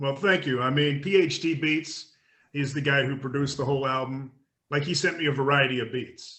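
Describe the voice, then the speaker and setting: Fairly even intonation and a fairly quick pace mark this speaker with an American accent. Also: man, fairly high pitch for a man. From Australia. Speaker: rapper. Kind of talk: interview. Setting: remote call.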